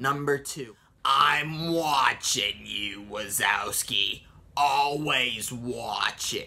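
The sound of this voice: Putting on a raspy character voice, a man speaks very slowly in a fairly high pitch.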